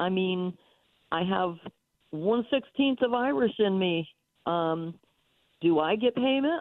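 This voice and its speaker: Lively intonation at a fairly slow pace. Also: woman. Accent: American. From North Carolina. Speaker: caller. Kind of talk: radio call-in, opinionated rant. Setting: phone call. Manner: hesitant, filler-heavy, indignant.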